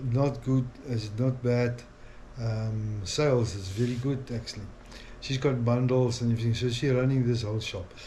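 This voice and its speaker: A man speaks in a dark, mellow tone at a moderate pace, somewhat breathy, with fairly even intonation and audible room echo. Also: medium pitch for a man. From South Africa. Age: 60s. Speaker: family vlogger. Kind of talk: casual vlog monologue. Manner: halting, many fillers.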